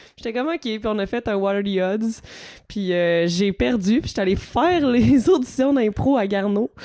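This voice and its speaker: A woman's dark, mellow voice at medium pitch, with lively intonation and a moderate pace. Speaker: improviser, co-host. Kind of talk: casual chat.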